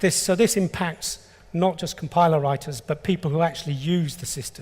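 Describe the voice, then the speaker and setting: A man speaks in a high voice at a fairly quick pace. His pitch varies in an ordinary way. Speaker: engineer presenting a technical specification. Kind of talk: conference talk.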